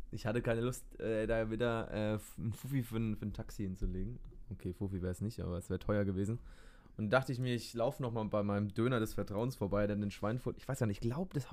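At a very fast pace, a man of medium pitch talks with ordinary pitch variation. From Bavaria, Germany. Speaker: podcast co-host. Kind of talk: casual chat.

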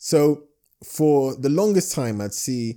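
Lively intonation and a dark, mellow tone, with a London accent. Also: man, very clean recording, silent background. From London, England. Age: 20s. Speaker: entrepreneur. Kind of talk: casual interview chat.

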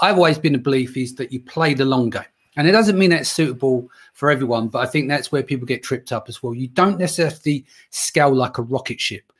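On a very clean recording with a silent background, a man with a fairly high pitch and a somewhat breathy voice speaks at a very fast pace. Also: ordinary pitch variation. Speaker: podcast host. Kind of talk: interview. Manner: casual, swears.

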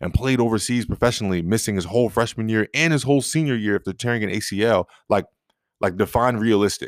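At a fairly quick pace, a man with an unremarkable speaking voice talks at a fairly low pitch with ordinary pitch variation, in a very clean, dry, close recording with a silent background and no echo. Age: 30s. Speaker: podcast host. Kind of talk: solo motivational monologue. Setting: recording alone. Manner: casual with frequent fillers.

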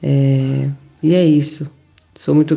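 A woman at a very slow pace. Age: 50s. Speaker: yoga teacher and aromatherapist. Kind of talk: health talk.

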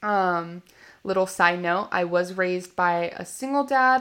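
An American accent with ordinary pitch variation, in a very clean recording with a silent background. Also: woman. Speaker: podcast host. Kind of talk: casual monologue. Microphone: slight echo, first podcast audio.

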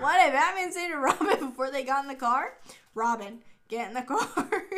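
A woman puts on a character voice, high-pitched, shaky and raised to project. Her pitch swings very widely at a moderate pace. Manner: scared, quivering.

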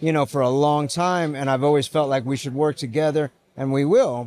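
A man's normal speaking voice, fairly high in pitch, with fairly even intonation at a moderate pace, in a very clean recording with a silent background. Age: 40s. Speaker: wheel brand founder. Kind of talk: casual interview.

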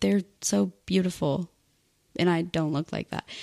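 With a dry, close sound and no echo, a woman speaks at a moderate pace in an unremarkable speaking voice with a fairly low pitch. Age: 20s. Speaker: YouTuber. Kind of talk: casual chat.

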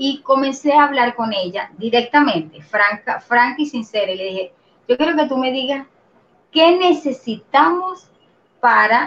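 A woman's high voice at a fairly slow pace, with very wide pitch swings. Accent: Venezuelan. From Venezuela. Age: 40s. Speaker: systems engineer and organizational consultant. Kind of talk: interview.

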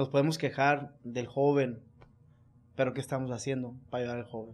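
Against a quiet background, a man talks at a fairly quick pace in a medium pitch. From Culiacán, Sinaloa, Mexico. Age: 40s. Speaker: businessman and former prisoner. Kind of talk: interview testimony. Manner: halting, repetitive.

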